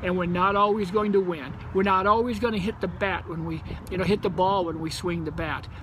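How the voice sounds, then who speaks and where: Over noticeable background noise and audible room echo, a man with a high pitch talks at a fairly quick pace with fairly even intonation. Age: 60s. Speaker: company co-founder. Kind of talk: promotional talk.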